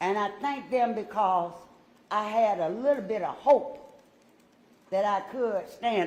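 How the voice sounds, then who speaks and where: There is audible room echo on this recording. The woman's intonation is lively. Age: 60s. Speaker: city council member. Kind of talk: statement at council meeting. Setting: council chamber. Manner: emotional.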